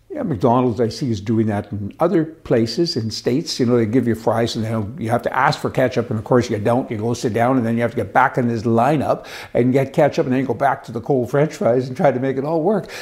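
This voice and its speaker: A man talks at a very fast clip with hardly any pauses. His pitch sits in the medium range and varies in an ordinary way. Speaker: political commentary host. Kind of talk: opinion monologue. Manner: animated.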